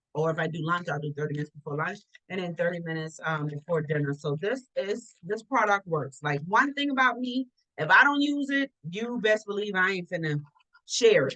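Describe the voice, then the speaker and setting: With a bright, sharp tone and a fairly low pitch, a woman speaks in an animated way at a fairly quick pace, her pitch swinging very widely. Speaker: online book club host. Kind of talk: casual livestream chat. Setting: livestream video call. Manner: stuttering.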